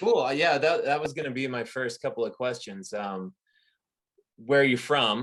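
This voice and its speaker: A man with an ordinary speaking voice talks at a moderate pace and medium pitch, using ordinary pitch variation. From Canada. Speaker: podcast host. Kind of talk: casual interview.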